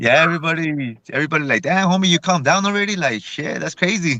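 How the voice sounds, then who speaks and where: A man speaks very fast in an American accent, his pitch fairly high with ordinary variation. His tone is bright and sharp. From El Paso, Texas. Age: 30s. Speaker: rapper. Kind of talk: casual interview.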